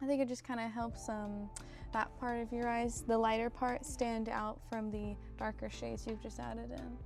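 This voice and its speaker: Someone soft-spoken talks at a moderate pace with music in the background. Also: woman. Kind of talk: casual makeup tutorial talk to camera.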